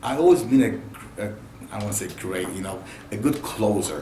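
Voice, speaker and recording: A man speaks at a moderate pace in a medium pitch. The room echo is audible, and background noise is noticeable. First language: Spanish. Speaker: car salesman. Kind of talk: interview.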